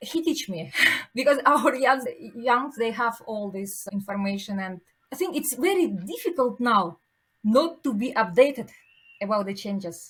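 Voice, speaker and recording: A woman with a non-native accent at a fairly high pitch and a moderate pace, with lively intonation and big swings in loudness. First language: not English. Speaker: pharmaceutical executive. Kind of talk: podcast interview. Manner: halting.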